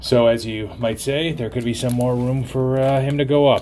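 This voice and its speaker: A man talks at a moderate pace. Noticeable noise runs in the background. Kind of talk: casual vlog chat. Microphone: phone near.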